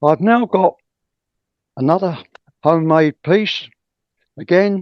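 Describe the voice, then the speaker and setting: Speaking at a fairly slow pace, a man with a high pitch talks in a southern English accent. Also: ordinary pitch variation. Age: 80s+. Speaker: woodturning demonstrator. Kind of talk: tutorial.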